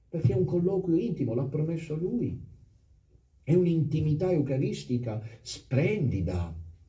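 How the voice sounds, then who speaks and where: In a room with audible echo, a man speaks at a fairly slow pace with long, frequent pauses, his fairly high, dark, mellow voice showing vocal fry and lively intonation. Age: 50s. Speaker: priest. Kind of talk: sermon. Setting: chapel with congregation. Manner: animated.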